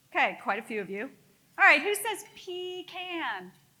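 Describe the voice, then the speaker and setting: A woman with an American accent uses a raised, projected voice. Her pitch swings very widely. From US South, Middle Georgia (Eastman). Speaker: company CEO and former politician. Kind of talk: luncheon keynote speech. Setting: luncheon event with live audience. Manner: folksy, conversational.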